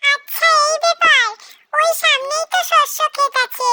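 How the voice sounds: The voice is a cartoonish character voice. It moves along at a moderate pace.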